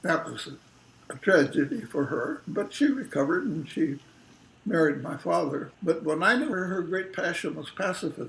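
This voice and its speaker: A man with a Californian accent speaks at a fairly slow pace in a high pitch with lively intonation, over noticeable background noise. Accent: General American (Californian). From Los Angeles, California, US. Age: 90s. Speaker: retired academic being interviewed. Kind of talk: oral history interview. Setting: family home kitchen.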